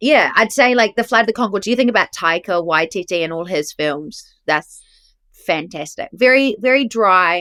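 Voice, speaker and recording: Fairly high-pitched and lively in intonation, a woman with a New Zealand accent speaks at a moderate pace, the sound dry and close with no echo on a very clean recording with a silent background. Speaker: actress. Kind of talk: casual chat. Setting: podcast interview.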